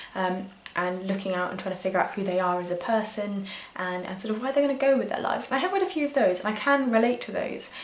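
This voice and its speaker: A woman with a British accent talks at a very fast pace in a medium pitch. Audible room echo and noticeable background noise fill the recording. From UK. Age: 20s. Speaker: book vlogger. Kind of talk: casual vlog talk. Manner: hesitant, many fillers.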